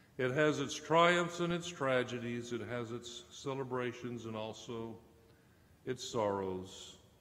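With audible room echo, a man talks at a fairly slow pace in a medium pitch, his tone fairly bright and his pitch variation ordinary.

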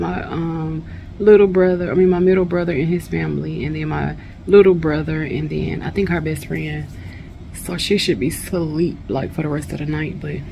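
Light background noise sits under a woman speaking at a moderate pace. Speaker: hair stylist vlogger. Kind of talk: casual vlog chat. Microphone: phone near.

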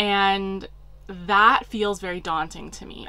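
The speaker is a woman. She has a bright, sharp tone. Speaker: hiking vlogger. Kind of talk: casual vlog chat. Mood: excited, upbeat. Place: home room.

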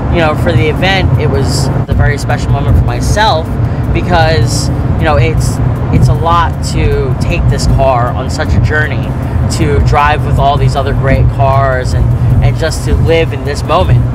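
A man talks at a moderate pace, and the sound is dry with no echo. Music plays in the background. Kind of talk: interview answer. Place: car.

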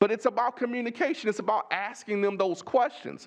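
In a Texas accent, a man speaks fairly quickly at a high pitch with an animated tone. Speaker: superintendent candidate. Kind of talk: job interview. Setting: board meeting room. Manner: repetitive, halting restarts.

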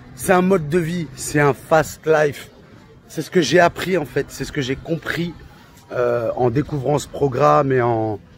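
A man speaks at a fairly slow pace in a fairly high pitch with ordinary pitch variation. The sound is dry with no echo, and faint music plays in the background. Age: 30s. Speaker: coaching client; coaching client giving testimonial. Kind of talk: testimony. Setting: on vacation. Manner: animated; halting. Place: street. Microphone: phone near.

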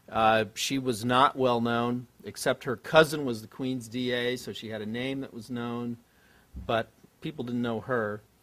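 Speaking with an American accent, a man keeps a monotone, flat intonation at a fairly slow pace. His loudness swings widely. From New York area (Westchester); New York. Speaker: political consultant; panelist. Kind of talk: panel discussion. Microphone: podium.

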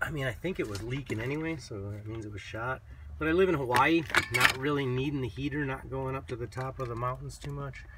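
Over loud background noise, a man talks at a very fast pace with ordinary pitch variation, the sound dry with no echo. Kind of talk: casual vlog chat. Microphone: phone near.

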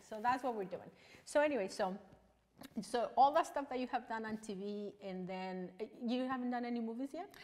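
A woman speaks with a Mexican accent at a fairly high pitch. Her loudness swings widely. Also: ordinary pitch variation, moderate pace. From Mexico. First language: Spanish. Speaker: online talk show host. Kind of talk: casual interview. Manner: animated, excitable. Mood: cheerful, laughing. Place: studio.

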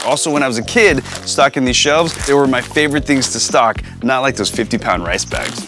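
A man talks at a fairly quick pace over clear background music. The sound is dry, with no echo. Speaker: cooking show host. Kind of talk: casual TV host talk to camera. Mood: cheerful, nostalgic. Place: shop. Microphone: lapel.

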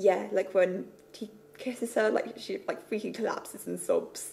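A woman speaks in a mumble. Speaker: web series creator and writer. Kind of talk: casual talk to camera. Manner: a little mumbly. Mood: relaxed, reflective, a bit self-conscious. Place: home room. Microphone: phone near.

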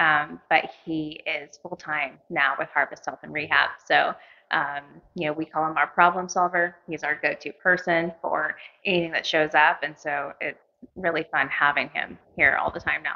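With an American accent, a woman speaks in a very deep, low voice at a moderate pace, her intonation monotone and flat, against a quiet background. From US Midwest. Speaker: clinic co-owner. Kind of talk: casual interview. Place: meeting room. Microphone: handheld.

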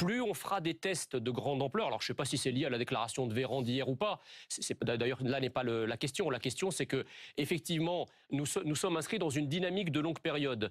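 A man speaks fairly quickly and with lively intonation while the background stays quiet. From Egypt. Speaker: politician and economist; politician. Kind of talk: radio interview. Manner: hesitant, many filler sounds. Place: studio. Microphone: lapel.

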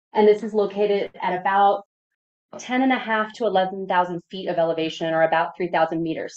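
Talking at a fairly quick pace, a woman speaks with an American accent. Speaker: emergency medicine physician. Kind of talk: lecture. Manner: fast.

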